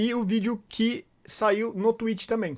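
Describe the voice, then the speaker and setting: Over a very clean recording with a silent background, a man with a high pitch speaks at a very slow pace and with fairly even intonation. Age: adult, past university. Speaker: gaming youtuber. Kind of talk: gameplay commentary. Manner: casual, with fillers.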